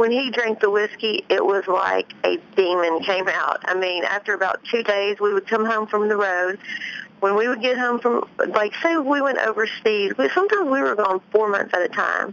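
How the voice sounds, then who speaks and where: In a Memphis accent, a woman speaks at a moderate pace with a fairly high pitch, ordinary pitch variation and very even loudness, amid noticeable background noise. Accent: Southern US (Memphis area). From US South, Tennessee near Memphis. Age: 30s. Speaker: author and ex-wife of a pro golfer. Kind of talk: interview.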